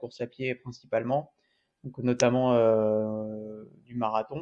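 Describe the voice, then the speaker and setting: Very slowly, a man speaks at a medium pitch. His intonation is monotone and flat. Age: 20s. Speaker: amateur triathlete and endurance coach. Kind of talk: vlog monologue. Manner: halting, many hesitations.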